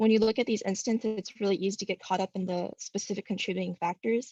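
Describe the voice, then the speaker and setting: A woman speaks at a fairly quick pace with fairly even intonation. Her voice is somewhat breathy and dark and mellow, with a dry, close sound and no echo. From Southern California. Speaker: student speaker at public comment. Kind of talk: public comment statement.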